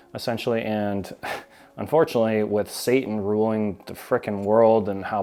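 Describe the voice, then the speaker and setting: A man speaks at a moderate pace in a fairly low pitch. His tone is dark and mellow, his intonation monotone and flat. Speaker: YouTuber on narcissism. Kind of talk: casual vlog talk.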